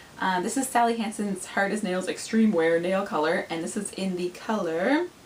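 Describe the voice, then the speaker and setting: There is noticeable background noise behind this woman's voice. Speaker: beauty vlogger. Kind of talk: product review vlog. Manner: fast; animated.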